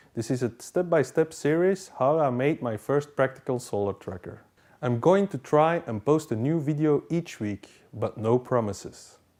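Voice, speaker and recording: The voice has a non-native accent and a dark, mellow tone. Its intonation is lively and the pace moderate. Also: man, fairly high pitch for a man. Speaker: DIY hobbyist. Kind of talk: tutorial.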